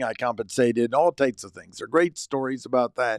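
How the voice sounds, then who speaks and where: A man with an American accent talks at a very fast pace in a medium pitch, with ordinary pitch variation and a dry, close sound with no echo. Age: 60s. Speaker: personal development coach. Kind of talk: personal monologue.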